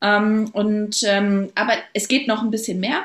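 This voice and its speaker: A woman speaks on a very clean recording against a silent background. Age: 30s. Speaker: local politician. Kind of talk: podcast interview. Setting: recording with her baby present.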